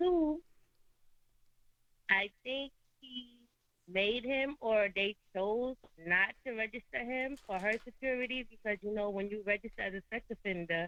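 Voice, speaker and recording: With a New York accent, a woman speaks in a bright, sharp tone at a fairly high pitch and a fairly slow pace, with ordinary pitch variation and long, frequent pauses. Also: dry, close sound with no echo. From New York, Brooklyn. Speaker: caller. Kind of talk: call-in talk show.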